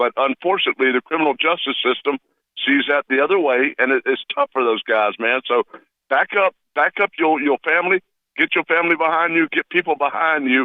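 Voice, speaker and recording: A man with a fairly high pitch, an animated tone, a fairly quick pace, ordinary pitch variation and very even loudness. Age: 60s. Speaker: radio show caller. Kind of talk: call-in comment. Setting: phone call.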